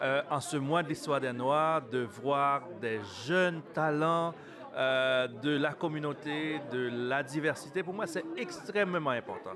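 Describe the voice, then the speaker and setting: The man's voice sits fairly high and shows ordinary pitch variation. He speaks at a very slow pace. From Montreal, Quebec. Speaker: city councillor. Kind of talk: interview. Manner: halting.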